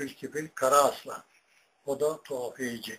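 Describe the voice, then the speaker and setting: Over light background noise, a man speaks at a fairly high pitch. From Turkey. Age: 80s+. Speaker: retired imam and muezzin; retired imam. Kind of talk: personal life story. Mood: calm, modest. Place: home room. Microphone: webcam.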